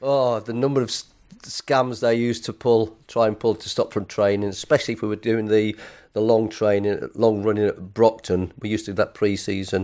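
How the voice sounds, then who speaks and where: In a Lancashire accent, a man with a fairly low pitch and a dark, mellow tone talks at a fairly quick pace with monotone, flat intonation. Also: very clean recording, silent background. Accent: northern English (Lancashire). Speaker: retired footballer. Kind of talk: casual interview.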